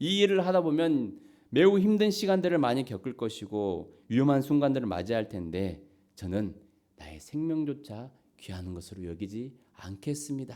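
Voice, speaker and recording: At a moderate pace, a man with a medium pitch and a dark, mellow tone makes very wide pitch swings and big swings in loudness. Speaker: pastor. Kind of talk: sermon. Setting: church.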